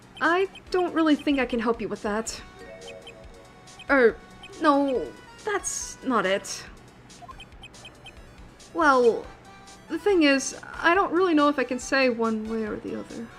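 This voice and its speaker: Over clear background music, a woman mumbles in a put-on character voice. She speaks at a fairly slow pace with long, frequent pauses. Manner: mumbling, trailing off.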